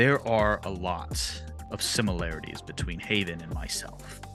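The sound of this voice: Over clear music in the background, a man does a gravelly put-on character voice at a moderate pace.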